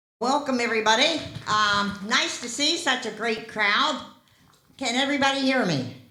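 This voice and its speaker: With ordinary pitch variation and audible room echo, the speaker moves at a moderate pace. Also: woman, fairly high pitch for a woman. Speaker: health educator giving a talk on fall prevention. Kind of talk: public talk. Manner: loud.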